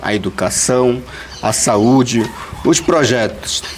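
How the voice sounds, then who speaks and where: Noticeable noise is audible in the background. Over it comes a man's voice. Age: 30s. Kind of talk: personal testimony in group meeting. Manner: halting, many fillers.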